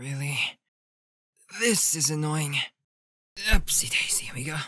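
A raspy put-on character voice at a low-to-middle pitch and a moderate pace. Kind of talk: comic dub.

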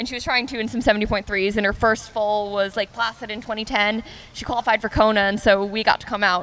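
A woman with an American accent, her fairly high pitch and monotone, flat intonation delivered at a fairly quick pace. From US. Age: 20s. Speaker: professional triathlete. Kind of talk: interview. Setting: on location at a restaurant. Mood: relaxed, friendly, smiling. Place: waterside. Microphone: handheld.

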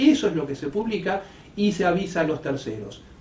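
A high-pitched man's voice with lively intonation and audible room echo. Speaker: notary. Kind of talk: explanatory talk to camera. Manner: fast.

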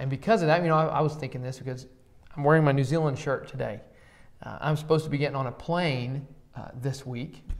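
A man's speech moves at a fairly quick pace, its intonation fairly even. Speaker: church podcast host. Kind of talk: casual conversational Bible discussion. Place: classroom. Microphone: lapel.

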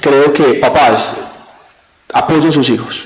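There is audible room echo. A man speaks in a Colombian Paisa accent. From Colombia, eastern Antioquia. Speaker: university rector; interview guest. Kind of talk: TV interview. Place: studio. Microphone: handheld.

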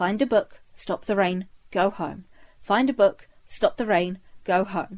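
In a put-on character voice, a woman growls at a medium pitch. She speaks at a fairly slow pace. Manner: muttering, growling through gritted teeth.

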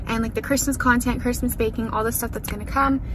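A woman talks at a fast pace over clear background noise, with audible room echo.

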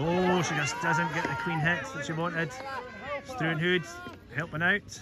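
Pitched high, a man talks at a moderate pace with long, frequent pauses. There is noticeable background noise. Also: ordinary pitch variation. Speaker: shinty match commentator. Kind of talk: live sports commentary.

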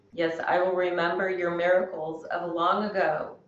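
A woman talks at a fairly slow pace in a fairly low pitch. Her voice carries audible room echo. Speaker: yoga instructor. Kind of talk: class instruction and scripture reading. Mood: calm, gentle. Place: home room. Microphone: camera far.

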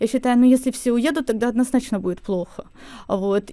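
Very fast speech from a woman, fairly high in pitch, with ordinary pitch variation. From Ukraine. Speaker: event agency founder. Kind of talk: radio interview. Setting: studio.

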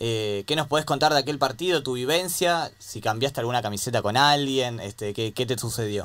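With an Argentine accent, a man talks at a fairly quick pace, medium in pitch, with ordinary pitch variation and hardly any pauses. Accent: Argentine Spanish (Rioplatense). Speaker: radio sports co-host. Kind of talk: radio interview.

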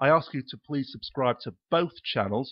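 This man speaks with ordinary pitch variation. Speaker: YouTube video blogger and activist. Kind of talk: angry rant. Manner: indignant, emphatic, repeating points for force; swearing, incredulous.

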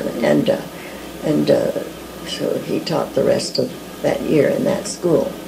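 Noticeable background noise sits behind a woman speaking at a fairly slow pace. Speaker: early church member recalling missions. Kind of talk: oral history interview answer. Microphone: old recording.

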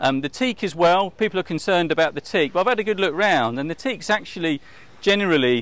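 In a dry sound with no echo, a man talks at a very fast pace. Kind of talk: walkthrough tour commentary. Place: waterside. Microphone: lapel.

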